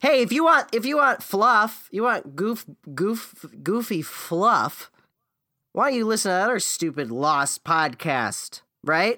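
A high-pitched man with an American accent speaks in a raised, projected voice at a fairly slow pace, with very wide pitch swings. His tone is bright and sharp, on a very clean recording with a silent background. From US, Florida (Naples). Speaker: podcast co-host, musician. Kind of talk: casual chat.

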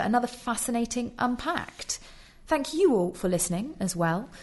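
The speaker has a British accent and a moderate pace. The pitch swings very widely. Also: woman. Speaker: podcast host. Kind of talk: casual discussion of an article.

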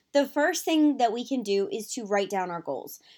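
A woman with a high pitch, an animated tone and very wide pitch swings, on a very clean recording with a silent background. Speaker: podcast host, mindset coach. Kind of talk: solo motivational podcast talk.

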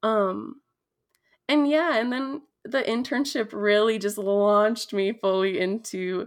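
A woman with an American accent has a plain, everyday voice. Her pitch is fairly high, with ordinary pitch variation. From Minnesota, Dakota community. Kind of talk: interview.

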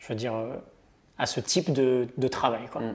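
Speaking at a moderate pace, the man has a medium pitch. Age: 30s. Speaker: entrepreneur and online content creator. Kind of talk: casual interview. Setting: coworking space.

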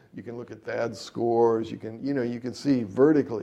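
A dark, mellow tone with ordinary pitch variation. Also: man. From US Midwest, Ohio. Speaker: jazz trumpeter and composer. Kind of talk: interview conversation.

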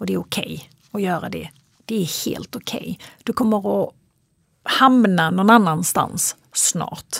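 Speaking at a fairly slow pace, a woman's voice shows big swings in loudness. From Sweden, Kristianstad (Skåne). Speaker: psychologist and fitness coach. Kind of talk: interview conversation. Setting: in studio with host, in person.

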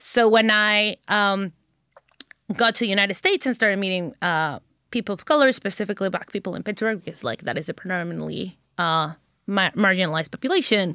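A woman speaks at a fairly quick pace in a medium pitch with ordinary variation. Her tone is bright and sharp, and the sound is dry and close with no echo. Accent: Spanish. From Mexico. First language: Spanish. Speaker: chemistry education researcher. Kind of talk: casual chat.

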